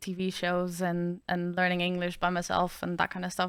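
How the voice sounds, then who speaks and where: A woman with a bright, sharp tone at medium pitch and a moderate pace in a very clean recording with a silent background. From Netherlands. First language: Dutch. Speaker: streamer. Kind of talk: casual chat.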